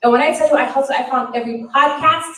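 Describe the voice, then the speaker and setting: Audible room echo surrounds a woman speaking with an American accent. Her pace is fairly quick and her intonation lively. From Florida. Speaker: podcast coach. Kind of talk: keynote speech. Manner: stutter.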